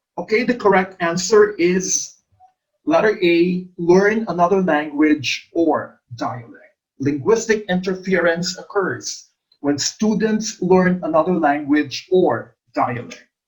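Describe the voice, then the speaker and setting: Speech comes at a very slow pace in an Ilonggo accent. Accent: Filipino (Ilonggo) English. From Philippines, Iloilo. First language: Hiligaynon. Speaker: English teacher, exam review coach. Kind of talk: lecture, exam review.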